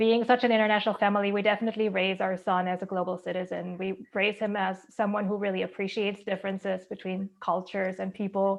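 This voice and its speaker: A woman at a medium pitch with a German accent, monotone and flat, very fast with hardly any pauses. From Germany. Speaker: school board candidate, HR director. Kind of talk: candidate speech at online forum.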